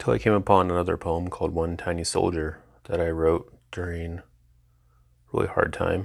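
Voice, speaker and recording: A man's very deep, low voice at a moderate pace, with fairly even intonation and long, frequent pauses. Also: very clean recording, silent background. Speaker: podcast host reading own poetry. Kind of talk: poetry reading; casual intro. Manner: voice may quiver with emotion.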